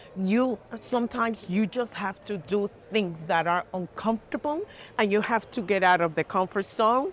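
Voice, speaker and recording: A medium-pitched woman with a strong Puerto Rican accent. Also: ordinary pitch variation, moderate pace. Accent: heavy Puerto Rican Spanish. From Puerto Rico, small town near Ponce. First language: Spanish. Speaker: judge. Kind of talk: interview. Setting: trading floor studio. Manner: earnest, emphatic.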